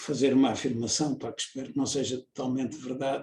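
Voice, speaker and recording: A man is speaking. His voice is somewhat breathy. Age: 70s. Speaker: engineer and researcher. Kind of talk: interview. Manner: halting, many fillers.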